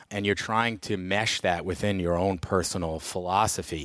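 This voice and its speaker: Here a man with an American accent speaks at a fairly quick pace with fairly even intonation. His pitch is very deep and low, on a very clean recording with a silent background. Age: 40s. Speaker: state legislator. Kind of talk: interview. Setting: studio.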